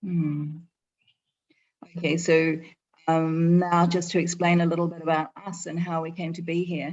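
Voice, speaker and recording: A woman with a New Zealand accent, fairly low in pitch, flat and monotone, at a moderate pace with long, frequent pauses and big swings in loudness. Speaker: eco resort owner. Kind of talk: presentation. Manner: halting, many fillers.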